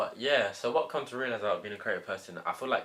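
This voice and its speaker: Talking at a fairly quick pace, a man speaks with a London accent. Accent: London multicultural English. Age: young. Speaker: podcast co-host. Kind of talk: casual chat.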